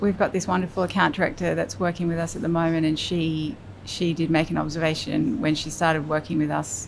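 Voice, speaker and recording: A woman's fairly low voice against noticeable background noise. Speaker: creative director and design studio founder. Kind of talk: interview answer. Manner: soft-spoken.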